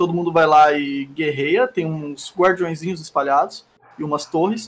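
A man with an unremarkable speaking voice, fairly high in pitch, talks at a moderate pace with ordinary pitch variation. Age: 20s. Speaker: streamer. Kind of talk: casual chat. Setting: live stream.

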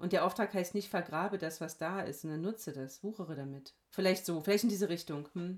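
A woman's plain, everyday voice, fairly low, at a fairly quick pace with ordinary pitch variation and hardly any pauses. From Hesse, Germany. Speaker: pastor. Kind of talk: casual chat.

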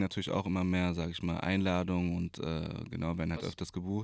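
The man speaks fairly quickly in a very deep, low voice. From Berlin. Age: 20s. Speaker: DJ and personal trainer. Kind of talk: casual chat. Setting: recording booth in coworking space.

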